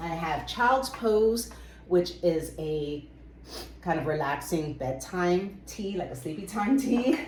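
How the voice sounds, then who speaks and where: A woman speaks at a very slow pace with a fairly low pitch and lively intonation, and the room echo is audible. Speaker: book and herbal video creator. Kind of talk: casual show-and-tell vlog. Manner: casual, with frequent fillers.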